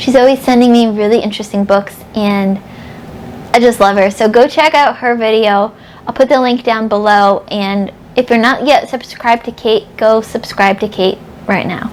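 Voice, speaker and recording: With noticeable background noise behind her, a woman with an American accent talks at a moderate pace in a fairly high pitch, her intonation fairly even. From upstate New York. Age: 30s. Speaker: book vlogger. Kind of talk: casual vlog chat.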